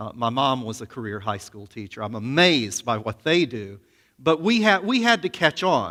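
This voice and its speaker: In a very clean recording with a silent background, a man with an American accent and a medium pitch talks at a moderate pace, his bright, sharp tone marked by very wide pitch swings and big swings in loudness. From US South, Alabama. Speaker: seminary professor. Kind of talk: sermon.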